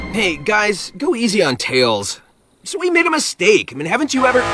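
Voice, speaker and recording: Over faint background music, a man does a cartoonish character voice, high-pitched with very wide pitch swings, at a moderate pace. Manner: breezy, wisecracking.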